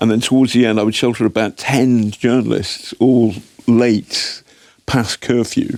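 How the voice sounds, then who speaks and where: A man in an English accent talks at a moderate pace. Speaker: investigative journalist. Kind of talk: interview. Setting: studio. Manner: animated, halting with repetitions.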